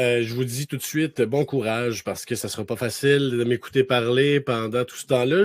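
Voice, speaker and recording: With a Quebec accent, a man talks at a fairly quick pace in an animated tone. The sound is dry and close, with no echo. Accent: Québécois French. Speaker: author and speaker. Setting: webinar. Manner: fast.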